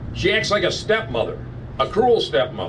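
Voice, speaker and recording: There is noticeable background noise. A man talks at a moderate pace. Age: 70s. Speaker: barber. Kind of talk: press conference statement.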